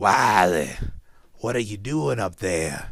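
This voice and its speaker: This man puts on a character voice. He speaks at a fairly slow pace. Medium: read story. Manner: boastful.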